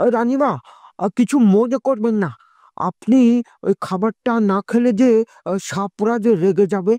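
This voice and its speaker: A female-sounding, cartoonish character voice with a fairly high pitch. It moves at a moderate pace. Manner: deferential.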